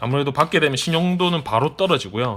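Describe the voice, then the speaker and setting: Here a man with a fairly high pitch speaks at a moderate pace. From Busan, South Korea. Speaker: product reviewer, YouTuber. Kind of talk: product review, unboxing. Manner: casual, filler-heavy.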